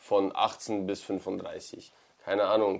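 A man's fairly low-pitched voice. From Ukraine. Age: 30s. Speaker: combat sports event promoter. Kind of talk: casual interview. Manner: direct.

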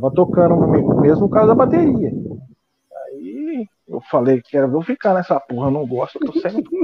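Here a man talks at a moderate pace in a high pitch. His voice swings very widely in pitch. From São Paulo state interior, Penápolis. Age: 40s. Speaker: drummer and NGO founder. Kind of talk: casual interview.

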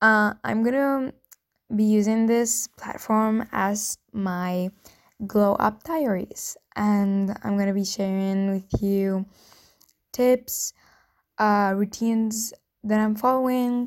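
Speaking very slowly with long, frequent pauses, a woman with a non-native accent uses a fairly high pitch and fairly even intonation. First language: not English. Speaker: new podcaster. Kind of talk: casual solo podcast intro.

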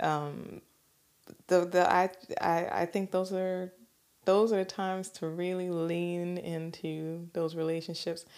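A woman's fairly low, monotone voice with flat intonation at a very slow pace, on a very clean recording with a silent background. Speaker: podcast co-host. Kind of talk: casual chat. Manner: halting.

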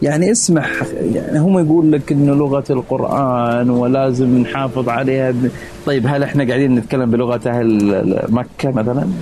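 A man at a moderate pace with very even loudness and ordinary pitch variation, over noticeable background noise. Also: medium pitch for a man. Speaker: doctoral student in behavioral science. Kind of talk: casual chat. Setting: outdoor balcony at night.

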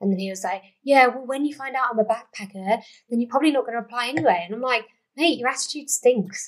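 A woman's high voice at a very fast pace. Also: ordinary pitch variation. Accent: English. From England. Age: 20s. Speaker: podcast host. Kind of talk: casual chat. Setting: at home recording, with wine.

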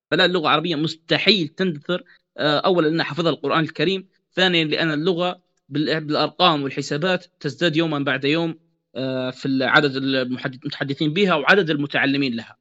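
With a normal speaking voice, a man talks at a moderate pace and a fairly high pitch, keeping his intonation fairly even. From Libya, Benghazi. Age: 20s. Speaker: novelist. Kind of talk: interview.

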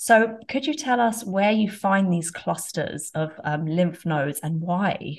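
At a very slow pace, a woman with a somewhat breathy, medium-pitched voice speaks with lively intonation. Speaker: podcast host. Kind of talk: casual interview.

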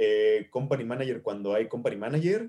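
A man with a Mexican accent, medium pitch and ordinary pitch variation. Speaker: actor and stage manager. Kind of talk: casual interview chat.

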